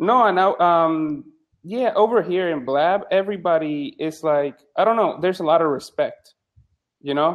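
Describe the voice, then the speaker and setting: He is a man with a Spanish accent and a high pitch. His pace is moderate and his pitch variation ordinary. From Puerto Rico. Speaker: psychologist and medical student. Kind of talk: casual chat. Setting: live video chat room. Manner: halting.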